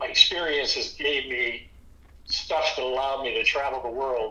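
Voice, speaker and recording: A man speaks at a moderate pace, with noticeable background noise and audible echo from the room. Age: 70s. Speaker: inventor and company founder. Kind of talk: casual chat.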